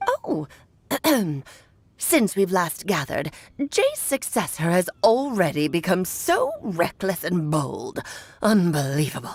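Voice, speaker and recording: A woman puts on a character voice at medium pitch, speaking at a fairly slow pace with long, frequent pauses. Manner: haughty, scolding.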